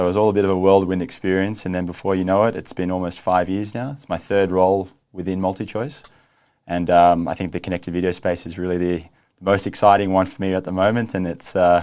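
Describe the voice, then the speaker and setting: Against a quiet background, a man with an Australian accent rattles along at a very fast pace in a very deep, low pitch with monotone, flat intonation. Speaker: streaming company executive. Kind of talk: interview. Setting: studio.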